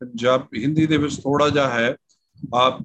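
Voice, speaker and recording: This is a man with a plain, everyday voice. His pitch is medium, with ordinary pitch variation. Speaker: pastor. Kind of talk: online Bible teaching.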